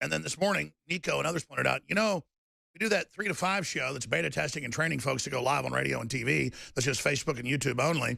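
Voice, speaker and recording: The voice has a bright, sharp tone, very wide pitch swings and vocal fry, delivered at a very fast pace. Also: man, medium pitch for a man. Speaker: radio host. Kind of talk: talk radio monologue.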